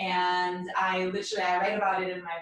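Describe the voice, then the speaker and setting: The speaker has a Russian accent. Noticeable background noise runs underneath. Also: woman. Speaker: mindfulness and meditation coach. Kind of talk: casual podcast chat.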